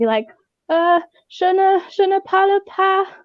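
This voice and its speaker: Pitch swings very widely as a woman speaks in an English accent. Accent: English accent when speaking English. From England. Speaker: book community member on a livestream. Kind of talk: casual chat.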